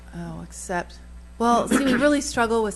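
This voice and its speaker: A woman talks at a moderate pace with audible room echo. Noticeable background noise is present throughout. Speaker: town planner. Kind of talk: council meeting discussion. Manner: halting.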